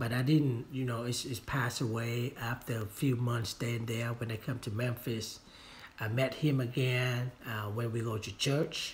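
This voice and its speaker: In a Vietnamese accent, a man speaks at a fairly slow pace. His delivery is monotone and flat, and somewhat breathy. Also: medium pitch for a man. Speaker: real estate agent and trainer. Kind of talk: training talk. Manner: halting, many fillers.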